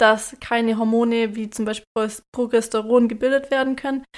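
On a very clean recording with a silent background, a woman speaks in a fairly high pitch with monotone, flat intonation. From Lake Constance region, southern Germany. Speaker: podcast host, expectant mother. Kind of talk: casual chat.

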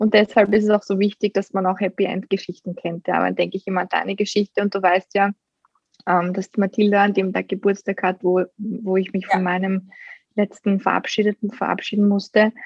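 A woman with an ordinary speaking voice talks at a medium pitch. Her fairly quick delivery keeps a fairly even intonation. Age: 30s. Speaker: guest sharing fertility experience. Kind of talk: casual chat.

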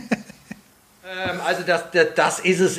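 Background noise is noticeable throughout. The voice is a man's. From Prague, Czech Republic. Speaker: guitarist and guitar teacher. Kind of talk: casual interview.

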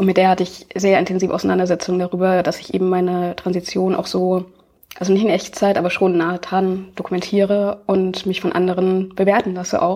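A woman's dark, mellow voice sits at a medium pitch, monotone and flat, moving at a fairly quick pace. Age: 20s. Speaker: video activist and YouTuber. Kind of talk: conversational interview.

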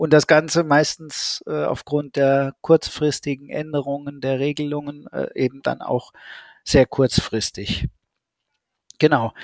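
Very slowly and with fairly even intonation, a man speaks at a fairly high pitch in a dry, close sound with no echo. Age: 30s. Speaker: school social worker. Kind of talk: interview.

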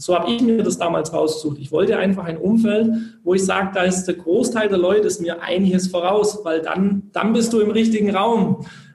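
A man's high-pitched voice at a fairly quick pace, with fairly even intonation, over noticeable background noise. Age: 20s. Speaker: network marketer, former direct sales. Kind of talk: interview.

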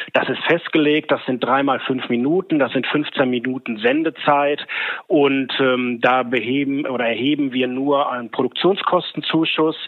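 Speaking with a fairly high pitch and fairly even intonation, a man keeps a moderate pace amid noticeable background noise. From Ruhr area, Germany (Oberhausen). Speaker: agency owner. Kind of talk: interview. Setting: remote connection.

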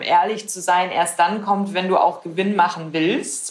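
A medium-pitched woman talks with fairly even intonation in an unremarkable speaking voice. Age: 20s. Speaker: startup founder. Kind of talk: interview.

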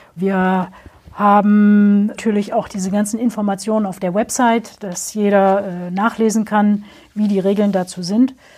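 A woman speaks fairly slowly in a dark, mellow tone with monotone, flat intonation. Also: medium pitch for a woman. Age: 50s. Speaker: trade fair director. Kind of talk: interview.

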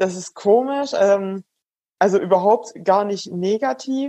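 Speaking at a fairly slow pace, a woman with medium pitch and a dark, mellow tone uses lively intonation. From Swabian Alb, Baden-Württemberg. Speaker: startup founder and cyclist. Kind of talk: interview.

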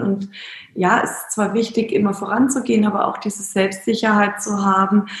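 A woman's fairly high voice amid noticeable background noise. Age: 40s. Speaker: startup founder. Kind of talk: interview. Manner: hesitant, many filler sounds.

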